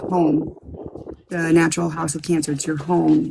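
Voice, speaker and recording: Female speech at a moderate speed, noticeable noise behind it. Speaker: astrologer. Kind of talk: astrology forecast livestream talk. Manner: casual, many fillers.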